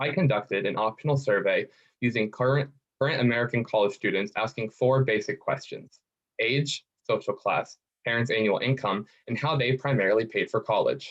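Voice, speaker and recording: The speech moves at a fairly quick pace, somewhat breathy, with ordinary pitch variation. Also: man. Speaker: student researcher. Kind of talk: competition pitch. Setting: video call.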